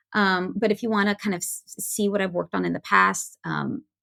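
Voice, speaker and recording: In a very clean recording with a silent background, a woman talks at a fairly quick pace with a bright, sharp tone and vocal fry. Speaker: comic book editor. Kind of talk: podcast interview. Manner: fast.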